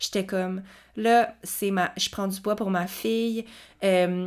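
Speaking in a Quebec accent, a woman talks at a fairly slow pace with a medium pitch. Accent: Québécois French. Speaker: kinesiologist podcast host. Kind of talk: personal testimony. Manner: hesitant, unedited with pauses.

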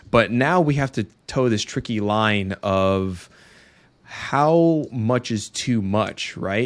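This is an unremarkable speaking voice, a man's, with a fairly low pitch and ordinary pitch variation. The recording is very clean, with a silent background. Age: 30s. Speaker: podcast host, father. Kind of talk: casual chat.

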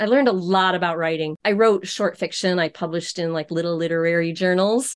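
A woman with an unremarkable speaking voice talks at a fairly quick pace and medium pitch, her intonation fairly even, over a quiet background. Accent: American. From upstate New York. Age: 60s. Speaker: embroidery business owner. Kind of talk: casual interview.

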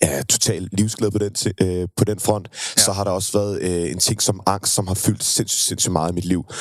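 In a plain, everyday voice, a man talks at a fairly low pitch and a moderate pace with fairly even intonation. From Denmark, Køge. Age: 20s. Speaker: singer. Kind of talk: interview.

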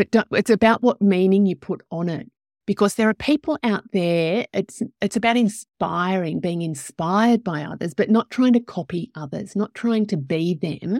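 A woman with an Australian accent at a medium pitch, lively intonation and a moderate pace, on a very clean recording with a silent background and a dry, close sound with no echo. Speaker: podcast host, life coach. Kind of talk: casual interview chat. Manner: animated.

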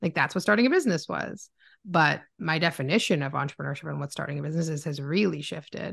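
The voice has vocal fry and ordinary pitch variation, in a Canadian accent. It moves at a very fast pace against a quiet background. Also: woman, very deep, low pitch for a woman. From Ontario, Canada (Oakville). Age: 30s. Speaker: entrepreneur. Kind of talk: casual interview chat.

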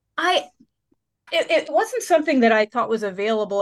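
A woman with an unremarkable speaking voice talks at a fairly quick pace, her fairly high pitch moving in lively intonation over a quiet background. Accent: American. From central Pennsylvania. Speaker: nature therapy guide and former pastor. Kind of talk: interview conversation. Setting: studio.

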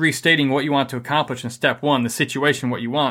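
A man with an American accent speaks in a fairly high pitch and a bright, sharp tone, recorded very cleanly against a silent background. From Michigan. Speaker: podcast host and marriage coach, Afghanistan war veteran. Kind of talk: podcast talk, practical teaching.

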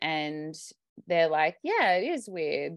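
A woman speaks with an Australian accent at a fairly slow pace. The background is quiet. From Australia, Sydney. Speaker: mother sharing birth story. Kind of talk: interview storytelling. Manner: casual, hesitant with many fillers.

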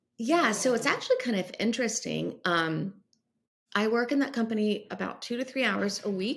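Speaking in an American accent, a woman with a fairly high pitch, ordinary pitch variation, and vocal fry uses an animated tone at a moderate pace. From US South, North Carolina. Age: 50s. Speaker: business coach and entrepreneur. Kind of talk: interview.

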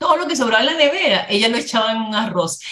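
Noticeable background noise sits under a woman's voice. Her fairly high pitch moves in very wide swings. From Dominican Republic. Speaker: life coach and interviewer. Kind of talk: interview conversation.

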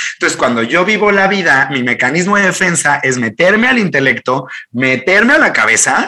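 Pitched high, a man talks with very wide pitch swings. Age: 30s. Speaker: life coach. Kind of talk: interview conversation. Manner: fast, animated.

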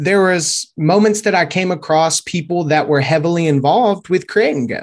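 A man with a high voice, lively intonation, a moderate pace and a Louisiana accent. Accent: Southern US (Louisiana). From Shreveport, Louisiana. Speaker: SEO and YouTube expert, team member. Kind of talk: casual interview chat.

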